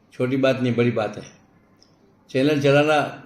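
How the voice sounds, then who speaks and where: Audible room echo surrounds a man speaking at medium pitch. He keeps a moderate pace and fairly even intonation. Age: 80s+. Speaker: philanthropist. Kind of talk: interview. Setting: office.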